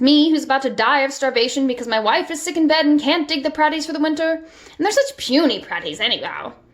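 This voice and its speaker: In a whiny, put-on character voice, a woman talks at a very fast pace with hardly any pauses, using a high pitch and ordinary pitch variation. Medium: read story. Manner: whiny, melodramatic.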